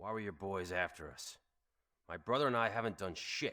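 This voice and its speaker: A man puts on a raspy character voice, pitched fairly low. He talks at a fairly quick pace with ordinary pitch variation. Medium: video game. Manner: gruff, sardonic.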